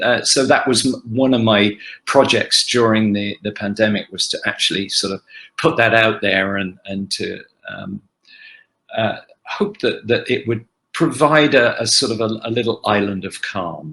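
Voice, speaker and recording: A man talks at a moderate pace with an English accent. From England, Oxford. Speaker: actor. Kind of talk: fan Q&A panel. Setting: video call. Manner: halting.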